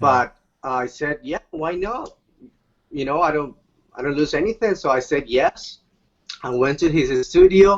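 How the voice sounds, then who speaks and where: A man with a Spanish accent talks at a fairly slow pace, leaving long, frequent pauses. His voice is fairly high in pitch, with lively intonation. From Bolivia. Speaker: Latin music singer and actor. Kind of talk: interview. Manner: halting.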